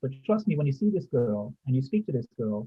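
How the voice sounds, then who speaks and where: This is a plain, everyday voice with an American accent. The pace is fairly quick. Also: man. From United States. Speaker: community safety volunteer, ex-military. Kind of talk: group discussion.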